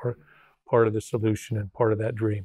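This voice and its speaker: In a dry, close sound with no echo and a quiet background, a man with a fairly low, somewhat breathy voice talks at a very fast pace in a monotone, flat way. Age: 60s. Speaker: retired college football head coach. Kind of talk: interview conversation. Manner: halting, repeats words.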